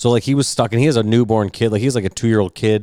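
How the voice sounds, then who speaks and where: A man mumbles as he talks. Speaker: podcast co-host. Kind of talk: casual chat. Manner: mumbling.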